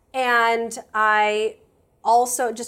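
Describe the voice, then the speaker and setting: Pitched fairly high, a woman talks in a plain, everyday voice. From US Midwest, suburbs of Detroit. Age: 40s. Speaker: author and former psychotherapist. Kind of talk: casual interview chat.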